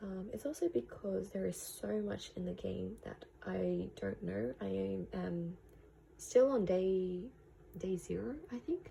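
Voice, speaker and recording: Speech at a fairly slow pace with an Australian accent. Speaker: vlogger. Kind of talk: casual vlog narration. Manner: hesitant, many fillers.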